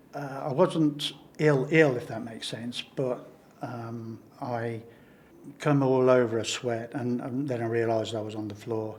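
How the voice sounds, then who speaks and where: A man with a northern English accent, medium in pitch, at a fairly slow pace, with ordinary pitch variation and big swings in loudness. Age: 70s. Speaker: pacemaker patient. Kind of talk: interview testimony. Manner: halting.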